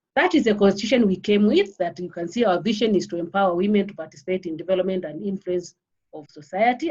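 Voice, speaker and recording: A woman with a dark, mellow, somewhat breathy tone speaks at a fairly quick pace. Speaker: polytechnic head of department. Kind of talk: panel presentation. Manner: halting, repetitive.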